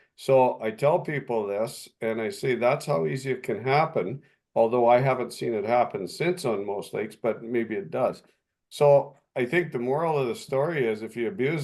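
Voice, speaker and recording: A man with a Canadian accent has an unremarkable speaking voice at a medium pitch. He moves at a moderate pace with lively intonation. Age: 60s. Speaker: municipal official and lake resident. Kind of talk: video call meeting discussion.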